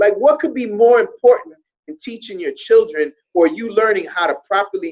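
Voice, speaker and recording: Speaking at a moderate pace, a man with an extremely high pitch shows very wide pitch swings and big swings in loudness. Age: 40s. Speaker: hunger strike participant, activist. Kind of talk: casual chat.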